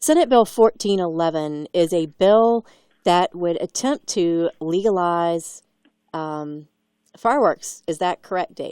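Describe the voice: At a fairly slow pace, a woman speaks in a fairly low voice with a slightly mellow, clear, smooth tone and ordinary pitch variation, in a dry, close sound with no echo.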